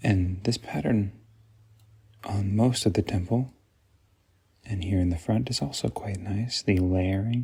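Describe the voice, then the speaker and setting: Soft-spoken and somewhat breathy, a man talks at a fairly slow pace with long, frequent pauses, a fairly low pitch, ordinary pitch variation, and a dark, mellow, calm tone. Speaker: optical professional, eyewear dispenser. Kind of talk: ASMR product walkthrough, soft-spoken. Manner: soft-spoken, calm.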